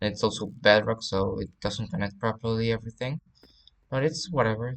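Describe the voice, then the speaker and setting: In a slight Spanish accent, a man speaks at a medium pitch with ordinary pitch variation. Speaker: gaming YouTuber. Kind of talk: game walkthrough commentary. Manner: halting, many fillers.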